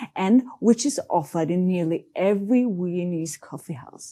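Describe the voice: A woman's voice has a dark, mellow tone. Her pitch swings widely.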